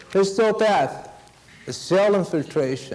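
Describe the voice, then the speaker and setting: A man's high-pitched voice with a non-native accent, at a fairly slow pace, with audible room echo. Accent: noticeable non-native. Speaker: veterinary pathology lecturer. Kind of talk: lecture.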